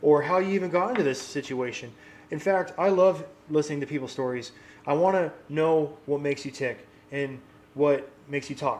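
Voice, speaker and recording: Fairly high-pitched, a man speaks with ordinary pitch variation. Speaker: real estate cash home buyer. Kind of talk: promotional talk to camera. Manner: fast; casual, conversational.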